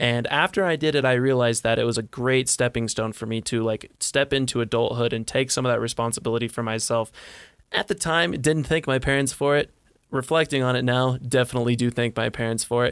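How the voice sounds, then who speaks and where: At a fairly quick pace, a man with a normal speaking voice and ordinary pitch variation is heard in a very clean, dry, close recording with no echo and a silent background. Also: medium pitch for a man. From Montana. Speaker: college student podcast host. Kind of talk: casual chat.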